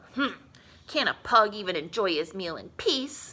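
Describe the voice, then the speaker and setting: This is a put-on character voice at a moderate pace. Its pitch swings very widely. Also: woman, medium pitch for a woman. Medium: read story.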